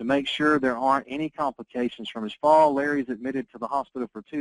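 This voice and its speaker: A man with a medium-pitched voice talks at a very fast pace, and the sound is dry and close with no echo. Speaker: insurance sales trainer. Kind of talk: training presentation.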